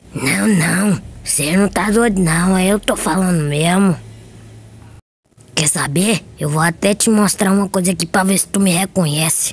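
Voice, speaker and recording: Pitched in the middle and moving at a moderate pace, the voice is a put-on character voice. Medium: dub.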